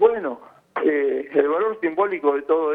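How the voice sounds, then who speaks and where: In a plain, everyday voice, a man speaks at a fairly high pitch and a moderate pace with ordinary pitch variation. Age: 60s. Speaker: intensive care physician. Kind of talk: news interview.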